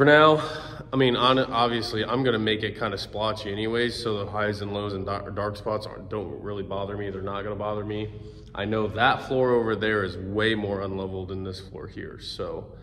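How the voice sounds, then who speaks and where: A plain, everyday voice from a man, fairly low-pitched, fairly quick and fairly even in intonation. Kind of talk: casual vlog chat. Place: workshop. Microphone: phone near.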